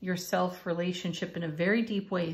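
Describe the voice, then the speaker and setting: A woman speaks with fairly even intonation. Her voice is somewhat breathy. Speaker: tarot card reader. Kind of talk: spiritual reading monologue. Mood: warm, encouraging. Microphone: phone near.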